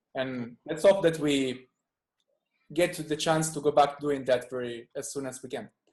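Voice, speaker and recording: With an Italian accent, the speaker keeps a moderate pace and ordinary pitch variation while the loudness swings widely. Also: man, fairly high pitch for a man. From southern Italy, Salento (Puglia). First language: Italian (Salentino dialect). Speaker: musician. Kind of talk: casual interview chat.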